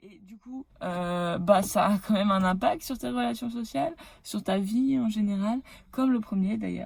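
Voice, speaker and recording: Her voice somewhat breathy and medium in pitch, a woman speaks at a fairly slow pace with very wide pitch swings and big shifts in loudness. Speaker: hypnotherapist vlogger. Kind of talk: casual vlog monologue. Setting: in her car. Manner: animated; hesitant fillers.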